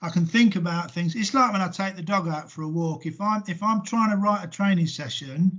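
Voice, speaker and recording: With an English accent, a man talks at a moderate pace, his pitch varying in an ordinary way. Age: 60s. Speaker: sports coach. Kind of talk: casual interview. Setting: video call.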